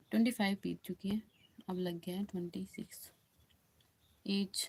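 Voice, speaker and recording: Monotone, flat intonation from a woman with a medium-pitched voice. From Uttar Pradesh, India (Ayodhya). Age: 20s. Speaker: bhajan singer and live streamer. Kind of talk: casual live stream chat with viewers. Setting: live stream. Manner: repetitive, pleading.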